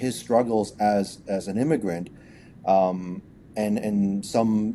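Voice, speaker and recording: Very slowly, a man speaks in a dark, mellow tone at a fairly low pitch with fairly even intonation. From Canada, Vancouver. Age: 40s. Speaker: company founder and CEO. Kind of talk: interview. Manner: hesitant, many repetitions.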